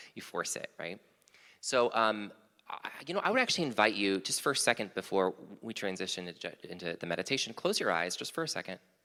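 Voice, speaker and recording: A man talks at a very fast pace with lively intonation. His tone is bright and sharp. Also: fairly low pitch for a man. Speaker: small group leader. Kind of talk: guided meditation intro in worship service.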